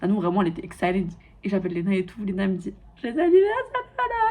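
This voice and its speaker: A woman's medium-pitched, animated voice at a very fast pace, with noticeable background noise. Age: 20s. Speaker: lifestyle vlogger. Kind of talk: casual vlog monologue.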